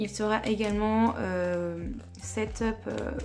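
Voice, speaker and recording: Music plays behind a woman as she speaks. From French-speaking country. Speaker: K-pop collecting youtuber. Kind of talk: casual vlog narration while organizing cards. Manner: hesitant, many filler sounds.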